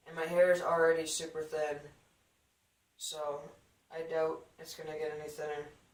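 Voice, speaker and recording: With audible room echo, a man speaks at a fairly high pitch in a monotone, flat intonation. His loudness swings widely, and his pauses are long and frequent. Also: moderate pace. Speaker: vlogger. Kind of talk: video diary. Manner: casual, relaxed.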